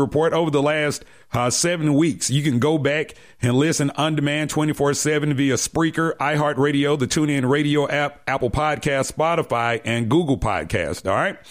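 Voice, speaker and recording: In a very clean recording with a silent background, a man with an ordinary speaking voice talks at a moderate pace with hardly any pauses, a fairly high pitch, ordinary pitch variation and very even loudness. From US South, Decatur, Georgia. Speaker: sports radio host. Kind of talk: casual sports talk show.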